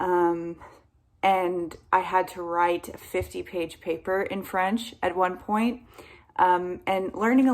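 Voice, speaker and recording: An ordinary speaking voice from a woman, medium in pitch, with an American accent, fairly even intonation and a fairly slow pace. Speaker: English teacher. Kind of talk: casual talk to camera. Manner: friendly, encouraging.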